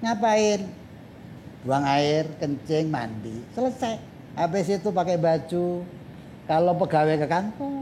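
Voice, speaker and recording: A man talks very slowly in a high pitch, with long, frequent pauses. His intonation is lively and his loudness very even. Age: 60s. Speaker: Islamic cleric and motivational speaker. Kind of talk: casual interview chat.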